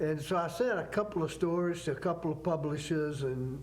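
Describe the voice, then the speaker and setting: A man with a Southern accent, fairly high pitch and ordinary pitch variation. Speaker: author. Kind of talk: TV interview.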